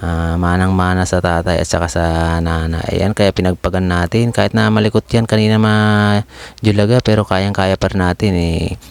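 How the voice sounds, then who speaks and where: A soft-spoken man with a very deep, low pitch, moderate pace, ordinary pitch variation and hardly any pauses, in a dry, close sound with no echo. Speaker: barber vlogger. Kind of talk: voice-over narration.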